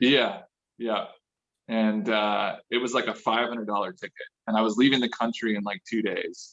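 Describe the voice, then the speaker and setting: In an ordinary speaking voice, a man with an American accent talks at a moderate pace and medium pitch, his intonation fairly even. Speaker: car enthusiast. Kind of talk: casual chat. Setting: video call.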